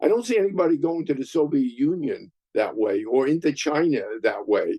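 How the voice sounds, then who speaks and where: With an American accent, the voice has a dark, mellow tone and lively intonation. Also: man. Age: 80s+. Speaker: retired finance executive. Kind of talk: interview.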